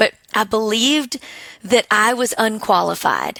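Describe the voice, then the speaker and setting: Fairly high in pitch and bright, sharp in tone, a woman speaks with an Alabama accent in a dry, close sound with no echo. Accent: charming Alabama. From Alabama, small town. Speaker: business owner, military spouse. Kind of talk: podcast interview.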